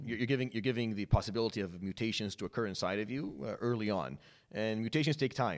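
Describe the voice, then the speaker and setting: In a very clean recording with a silent background, a man talks very fast in a fairly low pitch, with lively intonation and vocal fry. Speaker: medical oncologist and imam. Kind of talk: casual interview.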